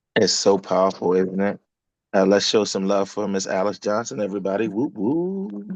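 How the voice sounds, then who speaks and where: Soft-spoken delivery at a moderate pace, with fairly even intonation. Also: man, fairly low pitch for a man. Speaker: business coach. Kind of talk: group coaching call.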